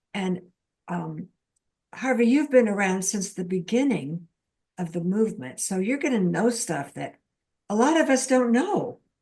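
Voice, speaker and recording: A somewhat breathy woman speaks at a moderate pace, her pitch swinging very widely. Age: 80s+. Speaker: podcast host. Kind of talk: interview.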